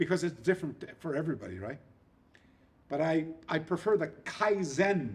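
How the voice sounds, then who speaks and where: Vocal fry runs through this man's fairly high-pitched voice. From eastern Canada, New Brunswick. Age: 60s. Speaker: karate historian and instructor. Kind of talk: interview. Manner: repetitive, halting restarts.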